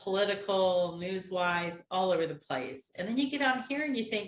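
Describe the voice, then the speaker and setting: Lively intonation colors this somewhat breathy voice, which moves at a fairly slow pace. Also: woman. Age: 60s. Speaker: innovation program volunteer. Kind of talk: casual chat.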